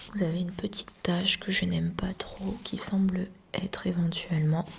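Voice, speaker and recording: A soft-spoken woman whispering at a moderate pace, with noticeable background noise. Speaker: art restorer teacher (roleplay). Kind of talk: asmr roleplay lesson. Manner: soft-spoken, whispery.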